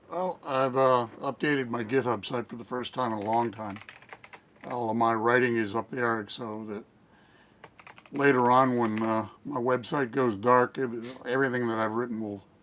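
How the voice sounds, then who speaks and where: A man at medium pitch and moderate pace, fairly even intonation, long and frequent pauses, and noticeable background noise. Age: 70s. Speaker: panelist. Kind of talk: casual chat.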